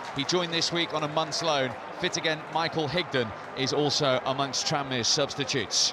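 A fairly high-pitched man at a fairly quick pace, dry with no echo, over noticeable background noise. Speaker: football commentator. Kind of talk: live football play-by-play commentary. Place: stadium.

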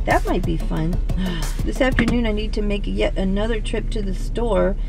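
Over clear background music, a woman talks at a moderate pace in a dry recording with no echo. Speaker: vlogger. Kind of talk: casual vlog chat. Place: car. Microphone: phone near.

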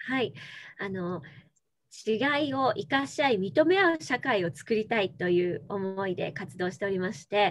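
Her pitch swings very widely. A woman talks against a quiet background. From Tokyo. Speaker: former TV announcer, NPO leader. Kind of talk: interview answer. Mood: warm, smiling. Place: home room. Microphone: video call.

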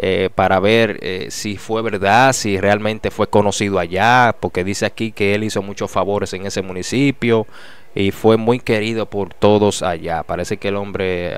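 In an ordinary speaking voice, a man talks fairly slowly at a fairly low pitch, with fairly even intonation and a dry sound with no echo. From Dominican Republic. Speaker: news commentary youtuber. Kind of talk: casual news commentary. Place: studio. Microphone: studio mic.

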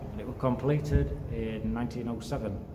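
A man speaks at a moderate pace, with noticeable noise in the background. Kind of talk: casual vlog chat. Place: empty room. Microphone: phone near.

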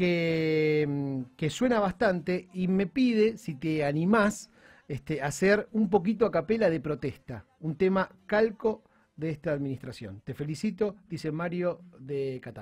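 A man talks at a fairly slow pace in a high-pitched voice. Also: lively intonation. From Argentina. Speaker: radio host. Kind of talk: radio interview. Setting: radio studio. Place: studio. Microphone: studio mic.

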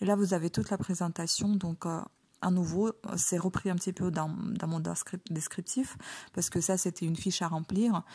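A woman of medium pitch with a dark, mellow, somewhat breathy tone, fairly even intonation, a moderate pace and long, frequent pauses, over a quiet background. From Ukraine. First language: Ukrainian (speaking French). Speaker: online shop owner and beauty vlogger. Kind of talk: product presentation tutorial. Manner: hesitant, many fillers.

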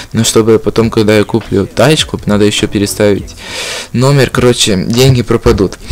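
Over noticeable background noise, a man talks at a moderate pace and medium pitch, with fairly even intonation and very even loudness. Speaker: gaming YouTuber. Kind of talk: casual gameplay vlog talk. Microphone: noisy microphone, broken 3.5 jack.

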